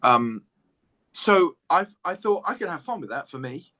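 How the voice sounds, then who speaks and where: A man in an English accent at a moderate pace, with very wide pitch swings. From England. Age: 60s. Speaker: jazz guitarist. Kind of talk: interview.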